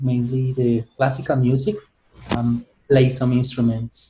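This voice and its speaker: Somewhat breathy, this man's voice proceeds at a moderate pace. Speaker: teacher. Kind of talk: self-introduction in class.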